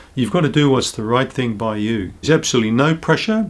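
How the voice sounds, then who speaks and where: In a New Zealand accent, a man talks at a medium pitch. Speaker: naturopath. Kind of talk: health education talk to camera. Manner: calm, reassuring.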